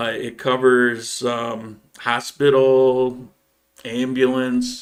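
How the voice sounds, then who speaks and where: In an American accent, a man speaks at a medium pitch and a very slow pace. His intonation stays flat and monotone. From upstate New York. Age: 60s. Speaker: YouTube channel host. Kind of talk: live stream Q&A. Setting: live stream. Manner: halting, many fillers.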